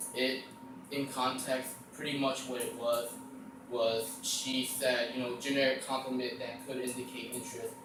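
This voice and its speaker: Noticeable background noise sits under the recording. A man speaks at a medium pitch and a moderate pace. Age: young. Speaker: amateur stand-up comedian. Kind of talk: stand-up comedy monologue. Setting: live audience at college.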